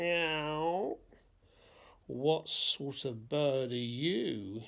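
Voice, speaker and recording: A put-on character voice sits at a low-to-middle pitch. The recording is very clean, with a silent background. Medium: read story.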